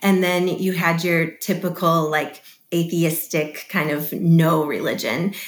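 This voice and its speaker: A fairly slow pace and fairly even intonation with an American accent, plus audible room echo. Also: woman, fairly low pitch for a woman. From Chicago area, US Midwest. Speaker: missionary. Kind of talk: interview.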